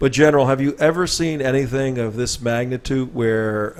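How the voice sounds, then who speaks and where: At a fairly quick pace, a man uses a normal speaking voice of medium pitch with fairly even intonation. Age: 60s. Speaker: talk show host. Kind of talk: interview.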